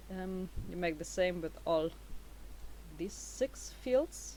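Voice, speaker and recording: The pace is very slow. A woman talks with a non-native accent. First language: not English. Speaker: YouTuber. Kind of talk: tutorial. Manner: halting, many fillers.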